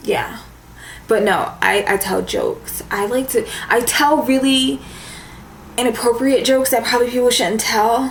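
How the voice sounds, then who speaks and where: With a moderate pace and long, frequent pauses, a woman speaks at a high pitch with ordinary pitch variation, amid noticeable background noise and audible room echo. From US, raised in the suburbs. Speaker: beauty vlogger. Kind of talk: casual chat.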